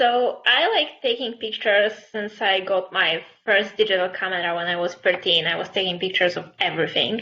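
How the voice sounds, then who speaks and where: In a Polish accent, a woman talks at a fairly quick pace. She hardly pauses at all. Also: medium pitch for a woman, ordinary pitch variation. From Poland. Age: 20s. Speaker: fashion photographer. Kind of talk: interview.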